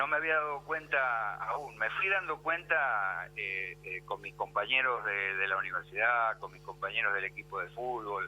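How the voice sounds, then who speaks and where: A man at a fairly slow pace with hardly any pauses and big swings in loudness. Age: 60s. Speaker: history professor. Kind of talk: radio interview. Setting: radio studio interview. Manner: halting, many fillers and repetitions.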